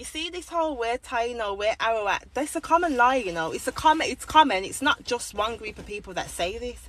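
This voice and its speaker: A woman with a high pitch and an animated tone talks at a fairly quick pace with hardly any pauses, very wide pitch swings and big swings in loudness. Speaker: commentary channel host. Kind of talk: casual commentary.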